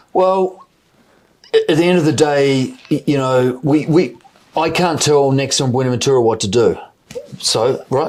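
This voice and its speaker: Pausing long and often, a man talks at a moderate pace with a fairly high pitch and ordinary pitch variation. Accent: New Zealand. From New Zealand. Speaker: mining company CEO. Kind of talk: interview. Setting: in person interview in London. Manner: halting, many repetitions.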